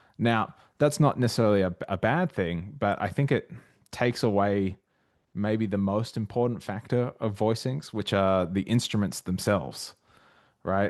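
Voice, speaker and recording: A man with an Australian accent, fairly low-pitched, with ordinary pitch variation, against a quiet background. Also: moderate pace. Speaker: jazz arranger and arranging tutor. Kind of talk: casual chat and tutorial.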